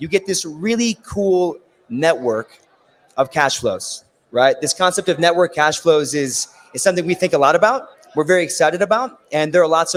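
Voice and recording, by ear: A raspy man speaks at a moderate pace and a fairly high pitch, his intonation lively.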